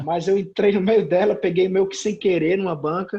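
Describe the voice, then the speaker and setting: A man is speaking. His pace is fairly quick. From Brazil, Sobral, Ceará (Northeast). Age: 30s. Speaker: comic book writer. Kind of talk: casual interview chat.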